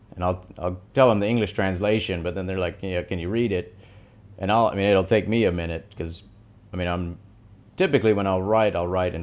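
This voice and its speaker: Speaking with an American accent at a fairly quick pace, a man uses a very deep, low pitch and fairly even intonation. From US South, Tennessee. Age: 30s. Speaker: artist, Arabic calligrapher. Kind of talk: interview.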